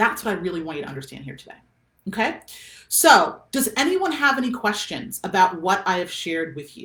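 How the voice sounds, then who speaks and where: A woman's medium-pitched voice at a fairly quick pace, with very wide pitch swings and big swings in loudness. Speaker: business coach. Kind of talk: live stream coaching talk. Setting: facebook live video. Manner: fast.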